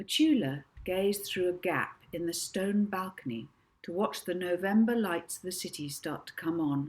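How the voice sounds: This clip features a natural reading voice. The reading sounds natural throughout.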